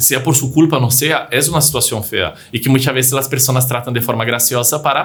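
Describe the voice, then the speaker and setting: A man with a non-native accent talks at a fairly quick pace with hardly any pauses. His intonation is monotone and flat, and there is noticeable background noise. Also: medium pitch for a man. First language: not Spanish (speaking Spanish). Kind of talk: casual chat. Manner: halting.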